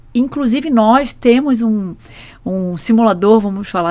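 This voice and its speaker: A woman with a Rio de Janeiro accent and a fairly high pitch. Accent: Rio de Janeiro (carioca) accent, noticeable. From Brazil, Rio de Janeiro. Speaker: truck rental executive; guest. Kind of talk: podcast interview. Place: studio. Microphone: studio mic.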